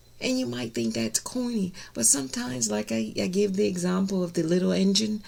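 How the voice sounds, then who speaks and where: Noticeable background noise sits behind the speaker. She is a woman whose pitch swings very widely. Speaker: minister. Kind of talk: sermon.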